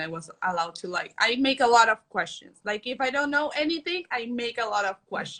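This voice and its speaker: This woman talks at a fairly quick pace with a Spanish accent. Her tone is bright and sharp, and her intonation is lively. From Colombia. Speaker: culinary exchange intern. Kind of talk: testimonial interview. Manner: halting.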